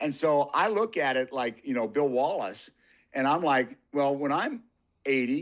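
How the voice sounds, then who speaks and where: With an ordinary speaking voice, a man speaks at a fairly high pitch and a fairly slow pace, his loudness very even against a quiet background. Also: lively intonation. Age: 60s. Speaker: martial artist and motorcycle rider. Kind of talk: casual chat.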